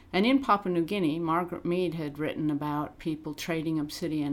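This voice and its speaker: Her American accent comes with a very deep, low pitch for a woman. She speaks at a fairly quick pace with ordinary pitch variation. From US Midwest, Illinois. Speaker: archaeologist. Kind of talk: interview.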